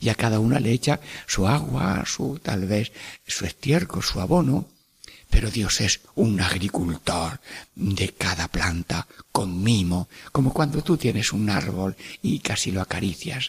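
In a dry, close sound with no echo, a man with a fairly low, somewhat breathy voice speaks at a fairly slow pace with lively intonation. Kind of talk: radio catechesis talk. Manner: warm, animated.

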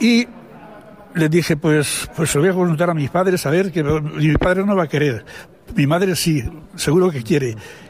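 Against noticeable background noise, a man speaks at a fairly high pitch, with long, frequent pauses. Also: ordinary pitch variation, moderate pace. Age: 80s+. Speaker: retired priest. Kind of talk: testimony. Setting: studio. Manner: halting.

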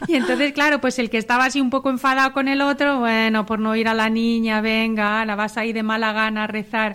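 Fairly quick speech from a woman with a fairly high pitch, fairly even intonation, very even loudness and hardly any pauses, amid noticeable background noise. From Spain, Zamora. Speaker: vocational school teacher and mother. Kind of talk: radio panel conversation.

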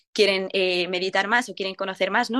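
This unremarkable speaking voice keeps a fairly quick tempo and a fairly even intonation. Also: woman. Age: 20s. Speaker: nurse and youth event volunteer. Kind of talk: radio interview.

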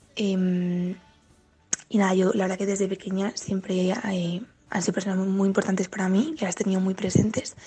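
A woman talks at a medium pitch and a moderate pace. Her intonation is fairly even, with music in the background. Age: 20s. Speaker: university student. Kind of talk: testimony.

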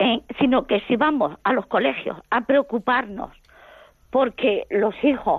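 A woman speaks at a very slow pace with lively intonation. Her pitch sits fairly high. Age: 70s. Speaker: caller. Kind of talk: phone-in call. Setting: phone call.

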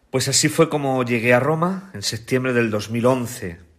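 This is an ordinary speaking voice delivered at a moderate pace. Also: man. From Spain, La Mancha (Ciudad Real). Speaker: priest and biblical scholar. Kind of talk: radio interview, testimony.

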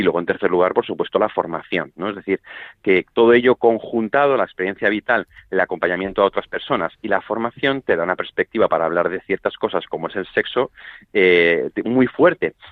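Using a plain, everyday voice, a man talks at a fairly quick pace with a fairly low pitch. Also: ordinary pitch variation. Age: 30s. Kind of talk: radio interview.

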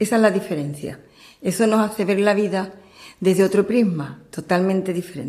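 A woman talks at a moderate pace in a medium pitch, with ordinary pitch variation and a dark, mellow tone. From Andalusia, Cádiz province. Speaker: churchgoer giving testimony. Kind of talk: testimony interview.

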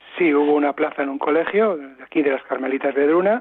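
Here a man has a normal speaking voice at a fairly high pitch. He talks at a fairly quick pace with ordinary pitch variation. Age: 60s. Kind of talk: interview. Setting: phone call.

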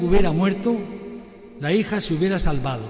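A man speaks with a high pitch and ordinary pitch variation. Noticeable background noise and audible room echo are present. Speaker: priest and retired missionary. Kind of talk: sermon. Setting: sanctuary with congregation, broadcast on radio.

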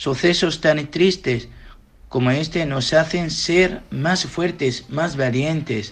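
At a very slow pace, a man with a fairly high voice speaks with ordinary pitch variation. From Iraq. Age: young. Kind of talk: interview answers.

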